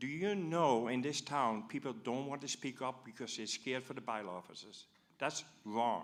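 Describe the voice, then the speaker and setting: With a Dutch accent, a man talks at a moderate pace and medium pitch, his pitch varying in an ordinary way. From Netherlands. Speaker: audience member asking a question. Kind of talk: public forum question. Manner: animated.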